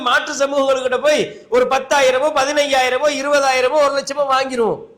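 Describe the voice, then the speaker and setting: Over noticeable background noise, a man with an extremely high pitch speaks in a monotone, flat intonation. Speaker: Islamic scholar giving a Friday sermon. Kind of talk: Friday sermon (khutbah) to a mosque congregation. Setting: mosque, live sermon.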